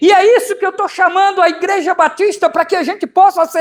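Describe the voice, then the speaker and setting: A man speaks at an extremely high pitch with fairly even intonation. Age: 60s. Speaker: pastor. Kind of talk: sermon.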